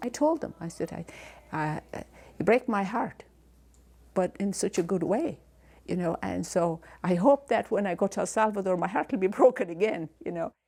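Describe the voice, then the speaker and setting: On a very clean recording with a silent background, a woman talks at a moderate pace and medium pitch with a dark, mellow tone, vocal fry, and very wide pitch swings. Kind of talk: interview testimony.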